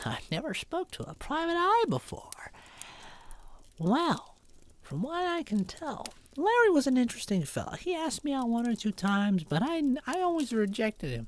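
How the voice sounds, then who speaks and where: This is a put-on character voice at a moderate pace. Its pitch swings very widely. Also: woman, high pitch for a woman. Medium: actual play. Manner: chatty, casual.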